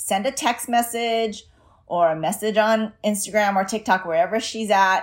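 In a normal speaking voice, the speaker talks at a fairly slow pace with lively intonation on a very clean recording with a silent background. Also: woman. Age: 40s. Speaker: parenting coach. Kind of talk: solo podcast monologue.

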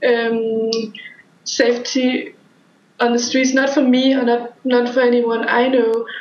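With a Danish accent, a woman speaks at a very slow pace in a high voice, her intonation monotone and flat and her loudness very even, amid noticeable background noise and audible room echo. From Denmark, small town. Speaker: podcast guest. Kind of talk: casual chat.

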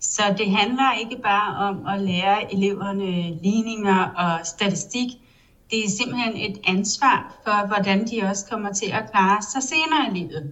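Over noticeable background noise, a woman speaks at a moderate pace, medium in pitch with ordinary pitch variation. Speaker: publishing editor-in-chief. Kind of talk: interview. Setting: online call.

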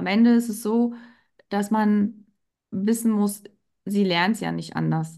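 In a monotone, flat intonation, a woman with a medium-pitched, dark, mellow voice speaks at a fairly slow pace with long, frequent pauses. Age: 40s. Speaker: pharmacy technician and women's health coach. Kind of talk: interview. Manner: hesitant filler words.

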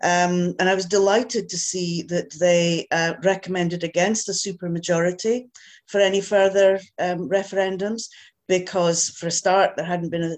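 A woman with a Scottish accent speaks at a moderate pace in a fairly low pitch over a quiet background. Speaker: audience member asking questions. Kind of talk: Q&A discussion.

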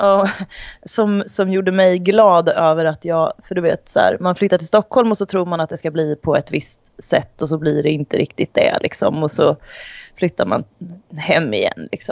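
Her pitch sits in the medium range for a woman, with ordinary variation, as she talks at a moderate pace. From Sweden, Degerfors (Värmland). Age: 30s. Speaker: sports reporter. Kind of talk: casual interview. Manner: halting.

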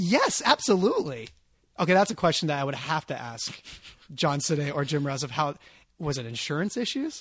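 A man's normal speaking voice at a fairly high pitch and fairly quick pace with lively intonation, on a very clean recording with a silent background. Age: 30s. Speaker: podcast host. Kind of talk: interview.

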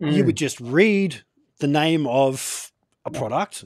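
In an Australian accent, a man speaks with lively intonation on a very clean recording with a silent background and a dry, close sound with no echo. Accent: everyday Australian. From Australia, Gold Coast. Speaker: interview show host. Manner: casual, chatty.

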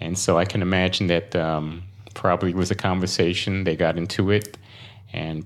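A man with an American accent talks at a moderate pace in a very deep, low pitch, with fairly even intonation. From Brooklyn, New York. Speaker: financial professional. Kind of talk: casual interview conversation. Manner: halting, repeats words.

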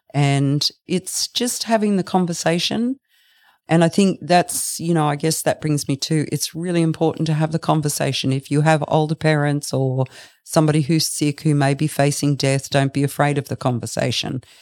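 With an Australian accent, a woman talks in a very deep, low voice with ordinary pitch variation, the sound dry and close with no echo and the recording very clean over a silent background. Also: moderate pace. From Australia, Brisbane. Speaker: funeral director. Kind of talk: interview.

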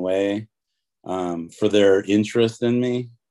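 Heard on a very clean recording with a silent background, a dark, mellow tone moves at a fairly slow pace with fairly even intonation. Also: man. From US Midwest (Detroit, Michigan). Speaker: tattoo artist. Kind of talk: interview.

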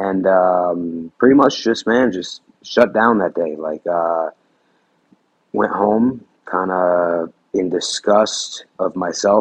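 A man with a fairly low pitch talks in a normal speaking voice with ordinary pitch variation. The sound is dry and close, with no echo. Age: 30s. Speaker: weight loss guest. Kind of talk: personal testimony in interview.

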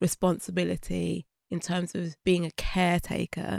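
In a dry, close sound with no echo, a woman speaks with a British accent. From England, Birmingham and London. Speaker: podcast producer. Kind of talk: interview. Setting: studio.

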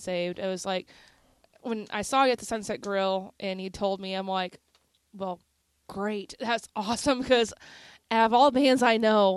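Against a quiet background, a woman talks in a plain, everyday voice. Her medium pitch shows ordinary pitch variation at a moderate pace. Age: 30s. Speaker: radio host. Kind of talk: casual chat.

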